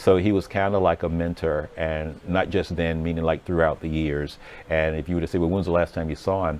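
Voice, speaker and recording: A relaxed, fairly quick delivery in an American accent, with monotone, flat intonation. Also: man, very deep, low pitch for a man. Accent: slight Southern, comes out at times. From Virginia, US South. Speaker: TV news reporter. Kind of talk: casual live-stream chat. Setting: newsroom studio. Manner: relaxed, many fillers.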